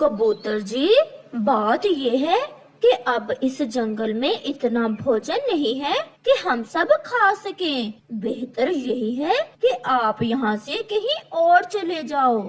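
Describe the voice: A man's cartoonish character voice, extremely high in pitch and fairly slow in pace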